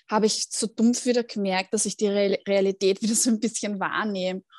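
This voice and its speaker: In a normal speaking voice, a woman speaks at a moderate pace and medium pitch with fairly even intonation, in a dry, close sound with no echo and a quiet background. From Austria, Vienna. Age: 30s. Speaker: mental trainer and cancer patient. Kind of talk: interview testimony.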